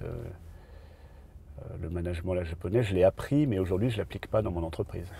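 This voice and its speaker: Lively in intonation, a man with a fairly low pitch, a dark, mellow tone and vocal fry speaks. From southern France, Nice. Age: 50s. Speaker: entrepreneur. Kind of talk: interview. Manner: halting, many fillers.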